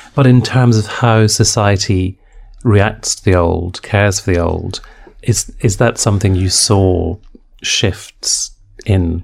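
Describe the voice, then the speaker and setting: Somewhat breathy, a man talks at a fairly low pitch with fairly even intonation. His pace is very slow. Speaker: podcast interviewer. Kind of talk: interview.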